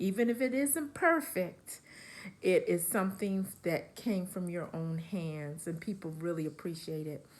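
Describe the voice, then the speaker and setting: This woman has an ordinary speaking voice at a medium pitch. Her intonation is lively and her pace fairly slow. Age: 60s. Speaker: crochet vlogger. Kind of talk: casual vlog talk to camera. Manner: relaxed, with many fillers.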